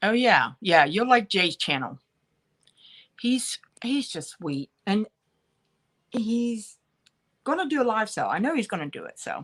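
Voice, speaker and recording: A woman with an American accent and vocal fry speaks at a fairly high pitch and a fairly slow pace, with very wide pitch swings, big swings in loudness and long, frequent pauses, in a dry, close sound with no echo. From central Pennsylvania (Bedford). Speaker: online live-sale seller. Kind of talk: live stream chat with viewers.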